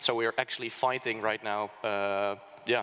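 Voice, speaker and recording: A man speaks with a Dutch accent at a fairly slow pace. His pitch is medium. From Netherlands. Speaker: think tank speaker. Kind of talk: conference presentation. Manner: halting, many fillers.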